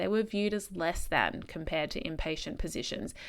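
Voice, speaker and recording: A medium-pitched woman's voice with an Australian accent. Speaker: podcast host, speech pathologist. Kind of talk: solo podcast monologue, storytelling. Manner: casual, chatty.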